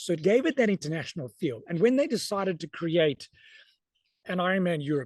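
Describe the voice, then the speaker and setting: In a South African accent, a man talks at a fairly quick pace with lively intonation and a high pitch, recorded in a dry, close sound with no echo and a quiet background. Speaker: sports event announcer. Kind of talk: interview.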